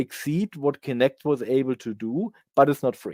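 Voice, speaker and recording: A man with a German accent, dry and close with no echo, on a very clean recording with a silent background. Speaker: conference speaker on software development. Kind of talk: conference talk Q&A. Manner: halting, many fillers.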